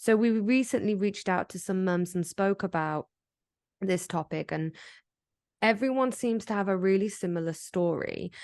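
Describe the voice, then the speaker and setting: With an English accent, a woman speaks with ordinary pitch variation in a dry, close sound with no echo. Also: medium pitch for a woman, moderate pace, quiet background. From England. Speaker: podcast co-host. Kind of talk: casual chat.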